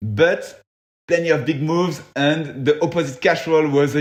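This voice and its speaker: Speaking with a French accent, a man uses a fairly high pitch. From France, Paris area (Versailles). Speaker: freeride mountain bike athlete. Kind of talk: casual interview chat. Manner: hesitant, many fillers.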